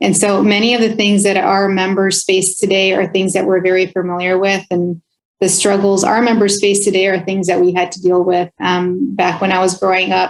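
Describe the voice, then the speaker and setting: A woman talks with a Spanish accent in a monotone, flat delivery. She hardly pauses at all. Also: medium pitch for a woman, moderate pace. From California, Oxnard. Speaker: health plan executive. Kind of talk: interview.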